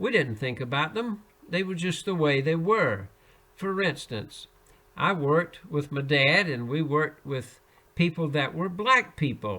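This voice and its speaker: Fairly high-pitched, a man with a Southern US accent talks at a fairly slow pace, his pitch swinging very widely. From US Deep South (Alabama). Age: 80s+. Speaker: devotional speaker. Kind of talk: personal testimony.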